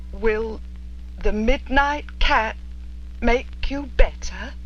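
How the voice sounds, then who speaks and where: Over clear background noise, a man does a cartoonish character voice at a very slow pace. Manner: grudging, stubborn.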